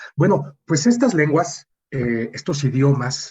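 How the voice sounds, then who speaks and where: A man speaking at a very slow pace over music in the background. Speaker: radio host. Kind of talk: radio interview.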